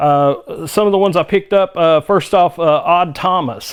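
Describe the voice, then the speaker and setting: A man with a Southern US accent, a moderate pace and ordinary pitch variation. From US South. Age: 50s. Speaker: movie reviewer. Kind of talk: casual monologue review. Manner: halting, frequent fillers.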